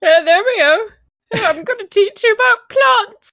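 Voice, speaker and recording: A woman does a put-on character voice at an extremely high pitch. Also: moderate pace. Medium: game stream.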